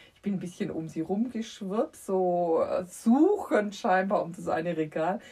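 Dark, mellow and somewhat breathy speech at a fairly slow pace with ordinary pitch variation. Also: woman, medium pitch for a woman. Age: 50s. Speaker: children's book author. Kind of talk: casual chat.

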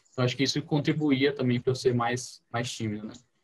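A man's somewhat breathy voice comes through at a fairly quick pace. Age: 20s. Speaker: university student, church member. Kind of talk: podcast interview testimony. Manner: hesitant, many fillers.

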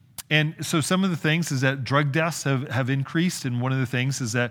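With an American accent, this is a normal speaking voice delivered at a moderate pace. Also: man. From California. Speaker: pastor. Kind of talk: sermon.

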